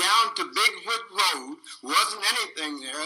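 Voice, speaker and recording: Over noticeable background noise, a man uses a raised, projected voice at a high pitch. He keeps a moderate pace. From Frederick, Maryland. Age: 70s. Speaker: planning commission member. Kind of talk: public hearing debate.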